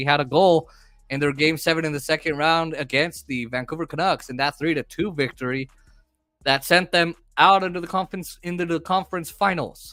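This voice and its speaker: This loud voice has a bright, sharp tone and moves at a moderate pace. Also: man. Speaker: sports commentator on a live stream. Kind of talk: live play-by-play commentary. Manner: energetic.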